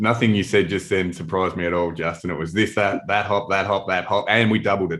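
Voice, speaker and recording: Over a very clean, silent background, a man with an Australian accent and fairly low pitch talks very fast, with hardly any pauses and fairly even intonation. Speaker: hop company marketing head hosting webinar. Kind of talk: casual chat.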